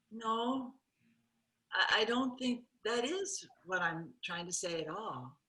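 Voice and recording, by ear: A woman puts on a character voice with a bright, sharp tone and a slightly husky edge. She goes at a slow pace in a medium pitch with lively intonation.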